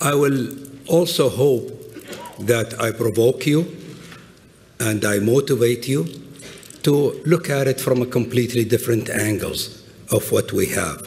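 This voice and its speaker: A man with an Arabic accent speaks at a fairly slow pace in a medium pitch, leaving long, frequent pauses. His pitch varies in an ordinary way, and there is noticeable background noise. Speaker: business executive and adjunct professor. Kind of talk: conference talk. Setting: stage with audience.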